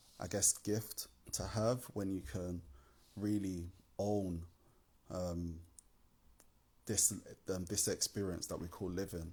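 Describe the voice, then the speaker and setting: A man speaks in a very deep, low pitch with monotone, flat intonation. His tone is relaxed, dark and mellow. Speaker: poet. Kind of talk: casual talk to camera. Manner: relaxed, hesitant.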